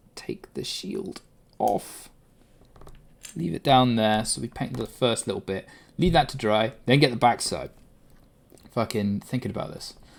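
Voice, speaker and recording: Lively intonation in a British accent, with big swings in loudness, a fairly slow pace, and long, frequent pauses. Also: man, medium pitch for a man. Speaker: livestreamer. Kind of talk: casual chat. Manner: loud at times.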